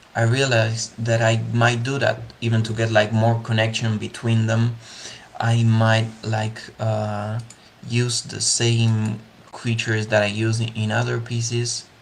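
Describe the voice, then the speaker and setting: The speaker has a Spanish accent and talks at a fairly slow pace. Noticeable background noise is present. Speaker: digital 3D artist. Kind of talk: live art tutorial / creative walkthrough. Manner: hesitant, many fillers.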